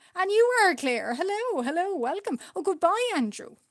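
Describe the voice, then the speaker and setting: A woman with an Irish accent, fairly slow pace and very wide pitch swings. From Ireland. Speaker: art streamer. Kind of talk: casual chat. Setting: live stream.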